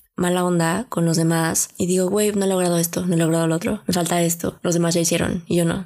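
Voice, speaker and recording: This woman speaks with a Mexican accent at a fairly low pitch. Her pace is fairly quick. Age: 20s. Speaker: podcast host. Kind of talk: casual monologue. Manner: animated.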